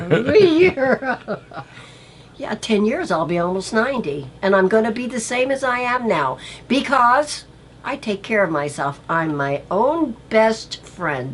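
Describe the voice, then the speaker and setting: Her pitch is fairly high and swings very wide. The woman talks at a fairly slow pace. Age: 70s. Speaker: chef's mother. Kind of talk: casual chat. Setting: on camera at home or studio, filmed.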